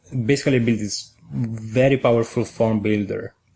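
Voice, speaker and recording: A man speaks with an Italian accent at a medium pitch. His tone is dark and mellow, with fairly even intonation. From Italy. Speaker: software engineer. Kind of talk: podcast interview answer.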